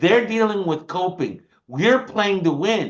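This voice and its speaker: A man talks in an animated tone at a fairly slow pace. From United States. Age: 60s. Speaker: supplement company presenter. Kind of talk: sales pitch.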